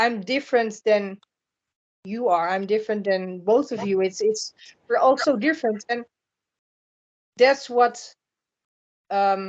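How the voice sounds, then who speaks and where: A woman speaks at a fairly high pitch with a Dutch accent and ordinary pitch variation. Her pace is fairly slow, with long, frequent pauses. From Netherlands. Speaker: spiritual blogger. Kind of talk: podcast interview. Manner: halting, repeats words.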